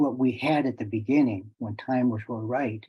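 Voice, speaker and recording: A man's normal speaking voice, medium-pitched, with fairly even intonation. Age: 60s. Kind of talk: presentation to online audience. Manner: casual, repetitive false starts.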